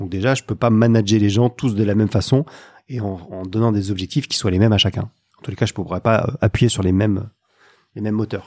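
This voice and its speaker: A man's ordinary speaking voice, fairly low in pitch, at a fairly quick pace with fairly even intonation, in a dry, close sound with no echo. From northern France, Lille. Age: 50s. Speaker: sales coach. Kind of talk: podcast interview.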